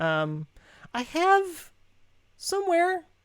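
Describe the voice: Putting on a character voice, a woman speaks at an extremely high pitch, sounding squeaky.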